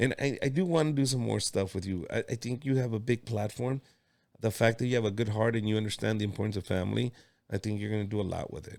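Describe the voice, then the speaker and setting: Talking at a very fast pace, a man with a Mexican accent keeps a fairly low pitch with ordinary pitch variation. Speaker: comedian and podcast host. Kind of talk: casual interview chat. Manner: animated.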